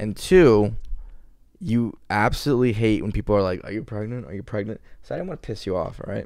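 In a quiet background with dry sound and no echo, a man with an American accent talks at a fairly quick pace, with a fairly low pitch and lively intonation. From Florida, US. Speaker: podcast co-host. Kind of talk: casual chat. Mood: joking, teasing. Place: home room. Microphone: studio mic.

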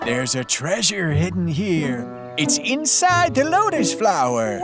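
A cartoonish character voice at a fairly slow pace over loud music in the background. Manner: enthusiastic, adventurous.

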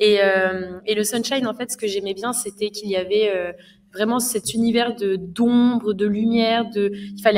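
Noticeable background noise accompanies a woman with a fairly high pitch. She talks at a fairly slow pace in a monotone, flat way. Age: 20s. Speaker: streamer. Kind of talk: casual film discussion. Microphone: studio mic.

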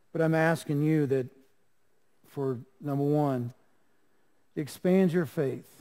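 A man with a Southern US accent speaks in a fairly high pitch with a dark, mellow tone. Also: quiet background. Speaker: pastor. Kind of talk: sermon. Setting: church. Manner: animated; earnest. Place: church. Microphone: podium.

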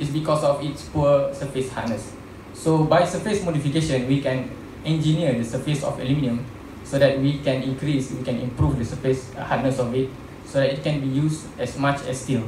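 Fairly quick, fairly even-toned speech with audible room echo and noticeable background noise. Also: man. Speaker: presenter. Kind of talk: lecture. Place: hall. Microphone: podium.

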